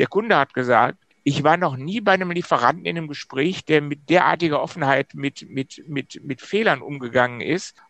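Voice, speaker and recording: A man speaks in an unremarkable speaking voice at a fairly quick pace with ordinary pitch variation. The sound is dry and close, with no echo. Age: 50s. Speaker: systemic coach, former managing director. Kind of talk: casual interview chat.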